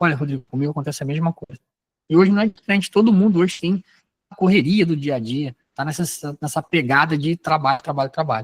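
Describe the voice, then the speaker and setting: Recorded dry and close with no echo, the somewhat breathy voice goes at a very fast pace with ordinary pitch variation. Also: man. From Rio de Janeiro state interior, Brazil. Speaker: sales trainer. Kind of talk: training lecture. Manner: conversational, animated; lowers voice to dramatize in role-play.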